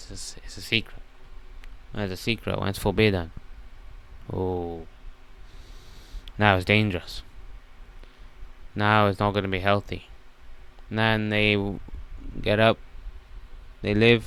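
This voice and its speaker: Fairly low male pitch at a moderate pace, monotone and flat, broken by long, frequent pauses. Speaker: self-improvement coach. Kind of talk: casual monologue. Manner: casual.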